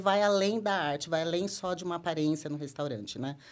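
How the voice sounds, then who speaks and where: A woman's fairly low voice at a very fast pace. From São Paulo state, Brazil (Americana). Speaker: marketing and brand director. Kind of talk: podcast interview.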